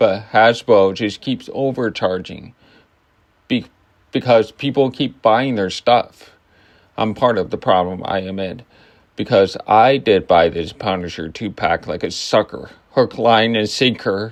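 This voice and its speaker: A man speaks at a fairly slow pace with a fairly low pitch. The background is quiet. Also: ordinary pitch variation. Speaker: toy review youtuber. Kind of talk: product review. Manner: casual, halting.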